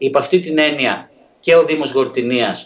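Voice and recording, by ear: Medium-pitched, a man speaks with ordinary pitch variation. Audible room echo surrounds his voice.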